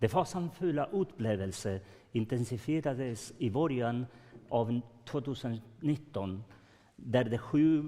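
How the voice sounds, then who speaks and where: Speaking with a Swedish accent, a man uses lively intonation and a dark, mellow tone at a medium pitch and a fairly slow pace. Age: old. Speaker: grandparent of detained children, speaker. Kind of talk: testimony at conference.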